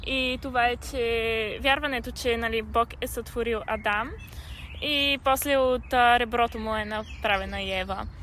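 At a fairly slow pace, a woman talks in an ordinary speaking voice, fairly high in pitch, with fairly even intonation. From Bulgaria. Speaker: podcast host. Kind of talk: casual chat. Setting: outdoors in a park.

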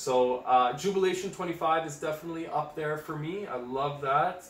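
Noticeable background noise accompanies a man whose fairly high pitch shows ordinary variation. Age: 20s. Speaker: fragrance enthusiast, copywriter. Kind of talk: casual chat.

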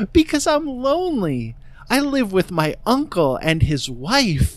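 In a put-on character voice, a female-sounding speaker uses a fairly high pitch and a fairly slow pace. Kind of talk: put-on lady voice.

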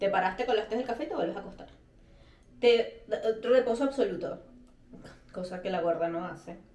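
Speaking with lively intonation at a moderate pace, a woman in a Venezuelan accent is heard over noticeable background noise. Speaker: podcast co-host. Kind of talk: casual chat.

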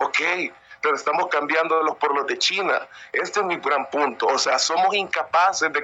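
Noticeable background noise accompanies a man whose pace is moderate. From El Salvador, San Miguel. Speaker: audience participant. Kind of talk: opinion comment.

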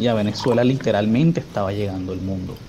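Male voice at a fairly quick pace, ordinary pitch variation, noticeable background noise. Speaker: coffee culture researcher. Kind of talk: interview.

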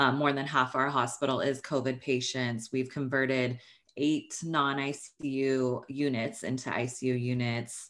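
On a very clean recording with a silent background, a woman speaks in a very deep, low pitch with monotone, flat intonation. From Northern California. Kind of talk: interview.

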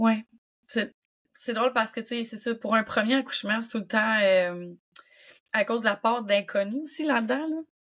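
With a Quebec accent, a woman speaks at a fairly high pitch with ordinary variation and a moderate pace, leaving long, frequent pauses, in a very clean recording with a silent background. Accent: Québécois French. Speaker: doula. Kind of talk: casual chat.

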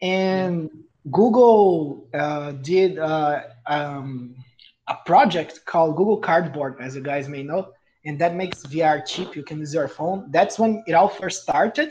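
Speaking at a fairly slow pace with a Brazilian accent, the voice swings widely in loudness. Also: man, high pitch for a man, ordinary pitch variation. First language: Portuguese. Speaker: podcast co-host. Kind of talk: casual chat, podcast recording.

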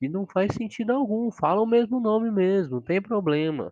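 This man's intonation is lively, and the sound is dry and close with no echo. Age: 20s. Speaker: podcast host, psychology student. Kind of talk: casual solo monologue.

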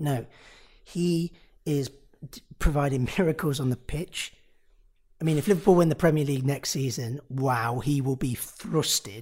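A somewhat breathy man with an East Midlands accent, fairly high-pitched, at a moderate pace with long, frequent pauses and ordinary pitch variation. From Nottingham, England. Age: 20s. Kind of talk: casual interview conversation.

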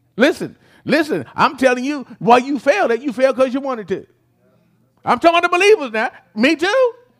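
Speaking at an extremely high pitch, a man moves at a fairly quick pace with lively intonation and long, frequent pauses, in a very clean recording with a silent background. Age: 60s. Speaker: pastor. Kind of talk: sermon. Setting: church. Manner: fast talker; animated.

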